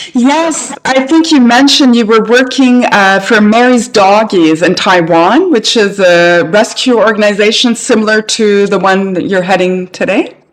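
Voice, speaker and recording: The speaker keeps a moderate pace with hardly any pauses while noticeable background noise runs underneath. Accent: Canadian. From Canada. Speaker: podcast host. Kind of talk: interview.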